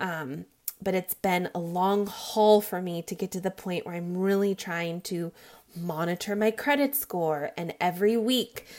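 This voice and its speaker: A woman with a plain, everyday voice, medium in pitch, at a fairly slow pace. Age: 30s. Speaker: weight loss podcaster. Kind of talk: personal monologue.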